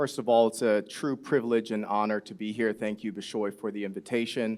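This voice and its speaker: Using an ordinary speaking voice, a man with an American accent talks at a fairly quick pace and fairly low pitch with fairly even intonation, on a very clean recording with a silent background. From US Midwest, Chicago. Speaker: conference panelist. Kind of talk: panel discussion. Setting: stage with audience.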